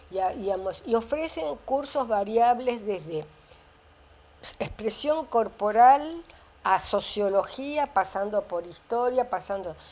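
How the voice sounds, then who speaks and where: Her fairly high-pitched voice moves at a very slow pace, and this woman's intonation is lively. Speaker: biologist and author. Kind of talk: interview. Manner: halting.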